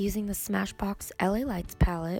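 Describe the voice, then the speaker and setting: Fairly even intonation over music in the background. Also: woman. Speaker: makeup artist. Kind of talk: makeup tutorial narration.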